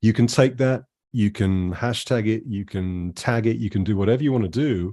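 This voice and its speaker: Speaking at a fairly quick pace, a man with a British accent has a fairly low pitch and a dark, mellow tone against a quiet background. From UK. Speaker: jazz musician. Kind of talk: interview. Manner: animated.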